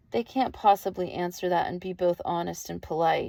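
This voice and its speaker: A female-sounding voice puts on a character voice. The pitch is medium for a woman and the pace is moderate. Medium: read story.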